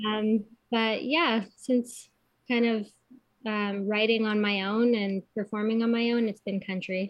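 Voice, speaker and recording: A normal speaking voice from a woman with a Canadian accent, fairly high in pitch, with fairly even intonation at a fairly slow pace. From Kitchener, Ontario, Canada. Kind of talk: casual interview chat.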